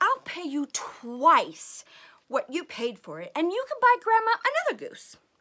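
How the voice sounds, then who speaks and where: A woman does a put-on character voice at an extremely high pitch. Her pitch swings very widely at a moderate pace. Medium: read story. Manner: scheming, impatient.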